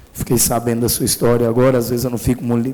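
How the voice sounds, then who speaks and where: A man's voice amid noticeable background noise. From Minas Gerais, Brazil. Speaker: city councillor. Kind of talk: council meeting speech. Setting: city council chamber. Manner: casual, colloquial.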